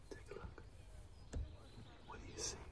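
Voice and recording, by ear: Whispering at a moderate pace, a man talks.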